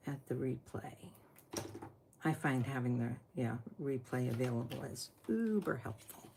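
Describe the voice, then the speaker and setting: A woman speaks at a moderate pace with long, frequent pauses in a very deep, low, somewhat breathy voice with a dark, mellow tone and ordinary pitch variation. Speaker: papercraft tutorial host. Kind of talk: tutorial. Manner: casual.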